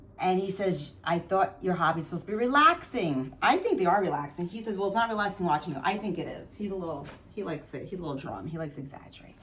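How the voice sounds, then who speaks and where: A woman with a New Jersey accent speaks very fast at a medium pitch, her loudness swinging widely. Background noise is noticeable. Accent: New Jersey American. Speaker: craft vlogger. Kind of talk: casual chat. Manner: rambling, hesitant with fillers.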